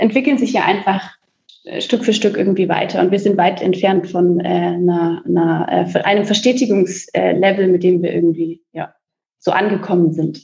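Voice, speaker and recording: With ordinary pitch variation, a woman speaks at a fairly slow pace in a somewhat breathy voice. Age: 20s. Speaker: coworking space co-founder. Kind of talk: podcast interview.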